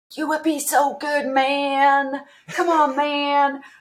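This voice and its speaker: Here a woman uses a put-on character voice pitched high. Her delivery is very slow, with monotone, flat intonation. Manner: coaxing, friendly.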